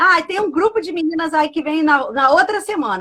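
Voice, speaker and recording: Her voice is extremely high, with a bright, sharp tone. The woman speaks at a moderate pace, sounding animated, with lively intonation. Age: 60s. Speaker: pastor and live show host. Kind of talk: casual live stream chat. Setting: live stream.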